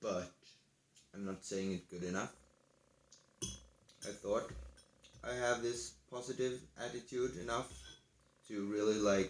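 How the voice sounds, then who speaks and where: Mumbled speech from a man at a fairly low pitch, fairly slow, with long, frequent pauses. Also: ordinary pitch variation. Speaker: gaming video host. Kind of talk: casual commentary. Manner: mumbling; quiet.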